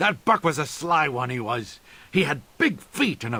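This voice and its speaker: A man puts on a character voice that is raspy and fairly high. His intonation is lively and his pace moderate. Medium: video game. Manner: chatty, rambling.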